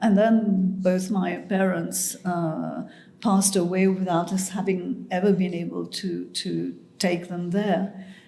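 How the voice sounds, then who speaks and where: In a monotone, flat delivery, a woman speaks at a very slow pace with audible room echo. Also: medium pitch for a woman. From Mauritius. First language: French and Mauritian Creole. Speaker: writer. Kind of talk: interview conversation. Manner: halting.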